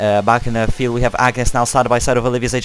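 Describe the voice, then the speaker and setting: A man's voice at a medium pitch. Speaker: sim racing league commentator. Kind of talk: live commentary. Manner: fast; animated.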